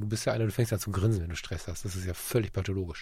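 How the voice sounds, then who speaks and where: Very fast and somewhat breathy, a man talks over a very clean recording with a silent background. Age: 40s. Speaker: podcast co-host and photographer. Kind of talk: casual chat.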